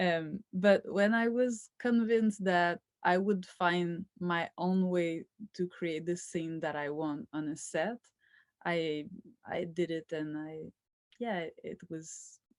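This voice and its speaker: In a very clean recording with a silent background and a dry, close sound with no echo, a woman with a Quebec accent speaks very slowly at a fairly low pitch with ordinary pitch variation. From rural Quebec, Canada. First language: French. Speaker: filmmaker. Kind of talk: interview. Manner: halting.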